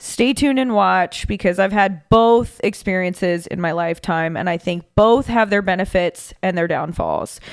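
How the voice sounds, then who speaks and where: On a very clean recording with a silent background, a woman speaks at a moderate pace in an energetic tone. Her pitch is medium, with ordinary variation. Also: hardly any pauses. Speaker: podcast host. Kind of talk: solo podcast monologue.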